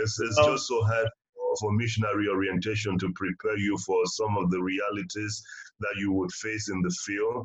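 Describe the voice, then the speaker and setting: Fairly low, somewhat breathy male speech with fairly even intonation. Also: moderate pace. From Africa. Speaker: missionary and podcast co-host. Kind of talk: casual chat.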